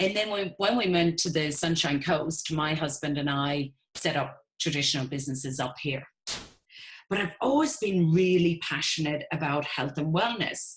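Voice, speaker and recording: A woman with an Irish accent speaks in a very deep, low pitch, somewhat breathy, at a moderate pace with ordinary pitch variation. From Ireland. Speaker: network marketing business owner. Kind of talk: webinar presentation.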